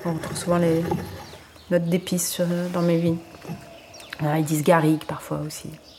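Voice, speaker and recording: A woman's fairly low voice, monotone and flat, at a moderate pace over noticeable background noise. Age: 40s. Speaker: winemaker. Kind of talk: casual interview.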